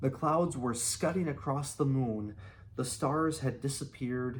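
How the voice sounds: Natural reading voice, its pitch varying in the usual way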